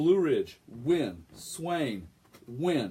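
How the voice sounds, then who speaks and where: The man's delivery has an animated tone. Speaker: community web show host. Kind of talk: casual chat with school sports updates. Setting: live Facebook video stream. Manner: loud.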